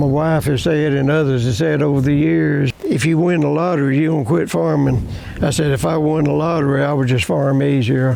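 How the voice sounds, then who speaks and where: With a Louisiana accent, a man speaks at a fairly quick pace with very even loudness and ordinary pitch variation, over noticeable background noise. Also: fairly high pitch for a man. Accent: Southern US (Louisiana). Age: 80s+. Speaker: farmer. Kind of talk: interview answer.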